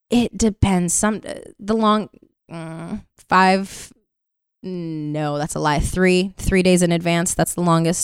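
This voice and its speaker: Speaking with an American accent, a woman talks at a very slow pace. Her intonation stays fairly even. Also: fairly low pitch for a woman. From Brooklyn, New York. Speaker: soap opera actress. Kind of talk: casual chat.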